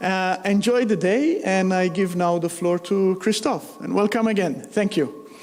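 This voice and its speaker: A man with a high voice speaks at a fairly slow pace, with hardly any pauses, very even loudness and ordinary pitch variation. Noticeable background noise runs underneath. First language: not English. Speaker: business manager chairing a meeting. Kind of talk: meeting opening remarks. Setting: meeting room, live streamed.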